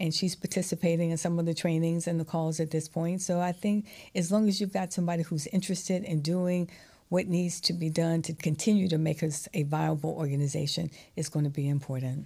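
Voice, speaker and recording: A woman talks at a fairly quick pace in a fairly low, dark and mellow voice, somewhat breathy, with fairly even intonation. The recording is very clean, with a silent background. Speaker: newspaper publisher. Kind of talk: interview.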